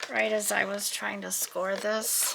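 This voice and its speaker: Over noticeable background noise, a soft-spoken woman with an American accent talks very slowly at a medium pitch. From US West Coast (Southern California). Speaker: craft video creator. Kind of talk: crafting tutorial-style narration. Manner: mumbling to herself.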